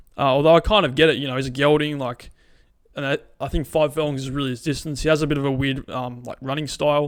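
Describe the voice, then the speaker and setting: A man with an Australian accent speaks at a very fast pace. His fairly high voice stays monotone and flat. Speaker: horse racing tipster. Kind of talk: casual racing preview. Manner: conversational with many fillers.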